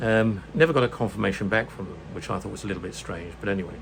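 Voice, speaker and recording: A man speaks in a British accent with lively intonation. The room echo is audible, and there is noticeable background noise. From UK. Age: 70s. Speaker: retired vlogger. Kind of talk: casual vlog monologue. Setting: home room. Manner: halting, many fillers.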